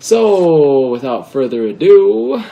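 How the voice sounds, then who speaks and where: A man's voice moves through very wide pitch swings against noticeable background noise. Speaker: LEGO building video host. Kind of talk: casual building tutorial. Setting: at home.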